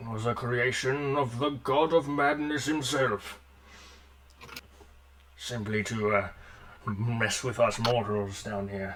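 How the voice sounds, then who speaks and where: Using a put-on character voice at a medium pitch, a man talks at a fairly slow pace with long, frequent pauses over clear background noise. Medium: actual play.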